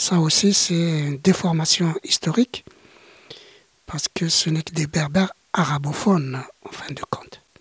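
A man's fairly high voice with ordinary pitch variation, long, frequent pauses, and big swings in loudness. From Algeria, Greater Kabylia. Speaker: witness of the Algerian war as a child. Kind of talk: interview testimony.

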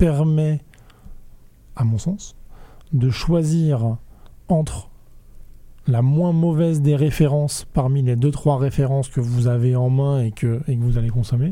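A man's voice sits at a fairly high pitch, with a dark, mellow tone and ordinary pitch variation. He leaves long, frequent pauses. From France, Rennes. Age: 30s. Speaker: food innovation network manager. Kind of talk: casual interview.

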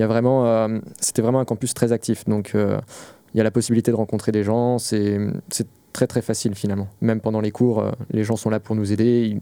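On a very clean recording with a silent background, a man with a dark, mellow tone and fairly low pitch speaks in a monotone, flat intonation at very even loudness. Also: moderate pace. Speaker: master's student. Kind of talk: casual chat. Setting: studio.

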